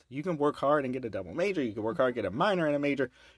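The recording is very clean, with a silent background and a dry, close sound with no echo. A man talks in a fairly high voice with vocal fry. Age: 30s. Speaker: podcast host. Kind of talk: casual chat. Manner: fast talker.

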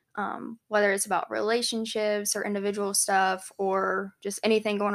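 This woman has an American accent. Her voice sits at a medium pitch. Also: very clean recording, silent background. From South Carolina, Charleston area. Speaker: podcast co-host, graduate student. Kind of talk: casual chat.

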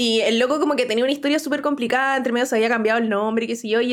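Against noticeable background noise, a woman speaks very fast at a high pitch with fairly even intonation. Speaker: science podcast host. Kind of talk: casual chat. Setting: live stream.

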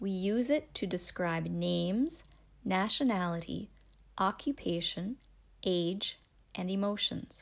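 With a Canadian accent, a woman speaks at a fairly slow pace with lively intonation. The recording is very clean, with a silent background. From Canada. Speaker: English teacher. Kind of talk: language lesson. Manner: slow, clear enunciation.

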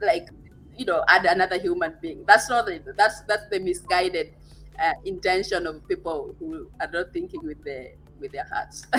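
Against noticeable background noise, a woman speaks at a moderate pace with big swings in loudness. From Kenya. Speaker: digital entrepreneur, podcaster. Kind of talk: interview conversation.

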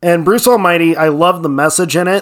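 A man talks in a normal speaking voice. His pitch is fairly high, with ordinary pitch variation. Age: 30s. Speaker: podcast co-host. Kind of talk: casual chat.

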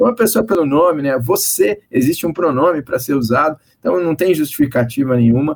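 In an ordinary speaking voice, a man talks at a fairly quick pace with fairly high pitch, lively intonation and hardly any pauses. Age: 50s. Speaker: course director at advertising association. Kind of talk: panel discussion.

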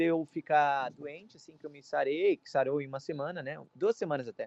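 With ordinary pitch variation, the male speaker moves along at a fairly quick pace. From Brazil. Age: 20s. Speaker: college student. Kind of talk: casual interview.

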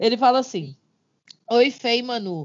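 The speaker is a woman with a high pitch. Her voice shows ordinary pitch variation. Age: 30s. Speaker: podcast co-host. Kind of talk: casual chat.

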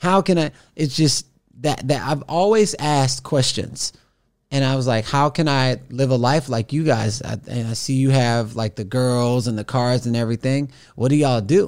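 In a plain, everyday voice, a man speaks at a moderate pace with a medium pitch and ordinary pitch variation on a very clean recording with a silent background. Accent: American. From Texas, Houston area. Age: 40s. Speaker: motivational speaker. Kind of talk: casual interview.

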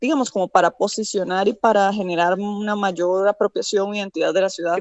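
A woman with an ordinary speaking voice talks at a medium pitch with fairly even intonation. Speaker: environmental engineer, urban planner. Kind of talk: interview.

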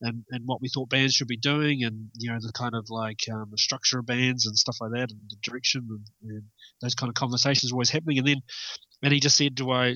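With a New Zealand accent, a man speaks at a very fast pace, keeping medium pitch and fairly even intonation. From New Zealand, South Island (Milton, near Dunedin). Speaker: metal guitarist. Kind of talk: interview. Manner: halting, many fillers.

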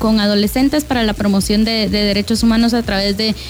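A woman talks in a fairly high pitch. Noticeable background noise is present. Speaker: radio host. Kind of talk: radio talk show. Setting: radio studio.

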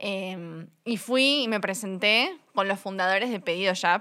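A woman with a Uruguayan accent, a medium pitch, and a bright, sharp tone, on a very clean recording with a silent background. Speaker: fashion company co-founder. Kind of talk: casual interview.

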